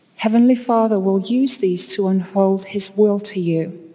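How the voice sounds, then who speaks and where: A woman with an American accent at a fairly slow pace, ordinary pitch variation, noticeable background noise. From England, York. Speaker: university professor. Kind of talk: devotional speech. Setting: stage with audience.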